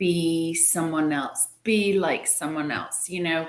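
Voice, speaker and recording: A woman speaks at a very slow pace. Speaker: marketing leader in direct selling. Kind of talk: interview answer.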